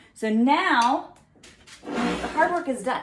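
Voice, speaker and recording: There is noticeable background noise behind this woman. She has a Southern US accent and lively intonation. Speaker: fitness trainer. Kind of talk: cooking tutorial. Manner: casual, chatty.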